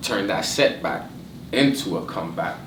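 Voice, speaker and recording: Audible room echo and noticeable background noise both color a man's speech. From Haitian background, Ottawa, Canada. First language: French. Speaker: rapper. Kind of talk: casual interview.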